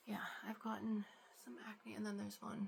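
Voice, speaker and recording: Over noticeable background noise, a woman speaks in a soft-spoken way. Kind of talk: ASMR get ready with me, casual talk to camera.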